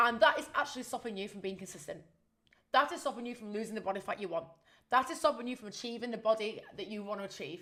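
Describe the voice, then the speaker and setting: Talking at a very fast pace, a woman uses a fairly high voice with a bright, sharp tone and lively intonation. Her delivery is animated, with big swings in loudness. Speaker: fitness and fat loss coach, podcast host. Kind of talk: solo podcast monologue.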